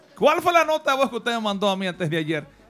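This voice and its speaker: A man speaks at a very fast pace as noticeable background noise plays behind him. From Dominican Republic, Salcedo. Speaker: radio DJ. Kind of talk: casual chat. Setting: studio.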